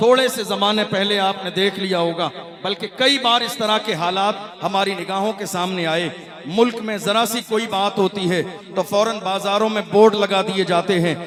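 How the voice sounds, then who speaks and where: Over noticeable background noise, a man with a high pitch speaks in fairly even intonation. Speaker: Islamic preacher. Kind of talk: religious sermon. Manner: fiery, forceful.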